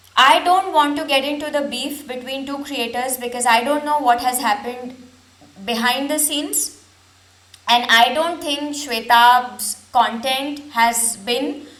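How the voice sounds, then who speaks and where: In a room with audible echo, a woman with a high voice talks fairly slowly and with fairly even intonation. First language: not English. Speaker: reaction video creator. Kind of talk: reaction commentary.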